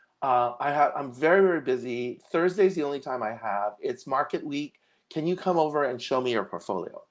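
Over a quiet background, a man with a fairly high pitch speaks at a fairly quick pace with lively intonation. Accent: Californian. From Los Angeles, US. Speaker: designer and seminarian. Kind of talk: casual interview.

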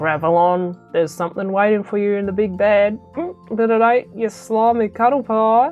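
A woman growls through a put-on character voice at a medium pitch and a moderate pace. Faint music plays in the background. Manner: growling, menacing, mocking.

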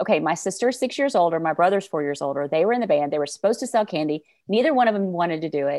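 At a very fast pace with hardly any pauses, a woman with a Southern US accent speaks in a fairly low, dark, mellow voice with lively intonation against a quiet background. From Arkansas, US South. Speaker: sales coach. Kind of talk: casual interview chat.

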